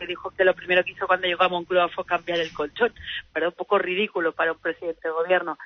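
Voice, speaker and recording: A woman speaks at a medium pitch. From Valencia region, Spain (Alzira). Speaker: politician. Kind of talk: interview. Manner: halting, repeated words.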